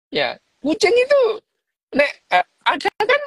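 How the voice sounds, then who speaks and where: A man is heard with a dry, close sound and no echo at all. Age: 60s. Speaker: neuroscientist doctor discussing a book. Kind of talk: casual book discussion livestream. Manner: halting, with frequent fillers.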